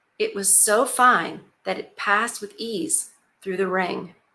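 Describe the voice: Against a quiet background, the text is read aloud plainly, and the pitch varies in an ordinary way.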